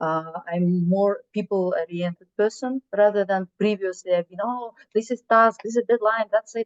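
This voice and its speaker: The sound is dry and close with no echo as a woman speaks at medium pitch with fairly even intonation. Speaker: HR executive and consultant. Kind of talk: online panel talk, success story. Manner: halting, many fillers.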